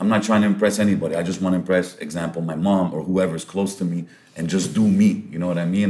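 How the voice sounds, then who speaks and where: Very fast and with fairly even intonation, a man speaks at a fairly low pitch. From Lebanon. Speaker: podcast host and MC; podcast host, MC. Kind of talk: casual interview chat. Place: meeting room. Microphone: studio mic.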